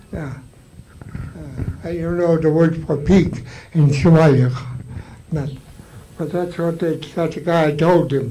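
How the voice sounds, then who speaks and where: A man with a fairly high pitch speaks at a very slow pace, his intonation fairly even. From Alaska Native, Tsimshian; Alaska. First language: Tsimshian (Sm'algyax). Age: 80s+. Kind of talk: storytelling to a live audience. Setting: live event, audience. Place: hall.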